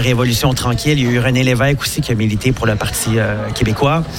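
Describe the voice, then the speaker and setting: A man at a very fast pace amid noticeable background noise and audible room echo. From Quebec, Saint-Hubert near Montreal. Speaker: Quebec bar owner. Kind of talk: radio interview. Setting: live broadcast from a bar.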